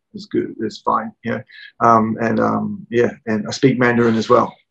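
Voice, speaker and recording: Recorded with a dry, close sound and no echo, a man with a New Zealand accent speaks at a moderate pace. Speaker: cooking channel host. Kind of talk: casual interview. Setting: video call. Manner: halting, many fillers.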